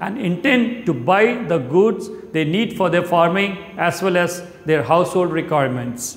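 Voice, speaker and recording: Moderate pace with audible room echo. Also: man. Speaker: presenter. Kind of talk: explainer presentation. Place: studio. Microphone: lapel.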